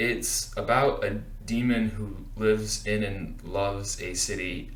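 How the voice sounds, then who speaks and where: Noticeable background noise fills the recording. A man's voice carries audible room echo. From rural Appalachia. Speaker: book vlogger. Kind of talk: book review vlog.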